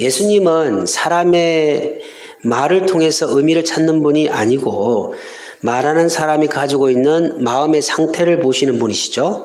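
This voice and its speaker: Through audible room echo and noticeable background noise, a man of fairly high pitch speaks at a fairly slow pace with ordinary pitch variation and very even loudness. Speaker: pastor. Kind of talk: sermon.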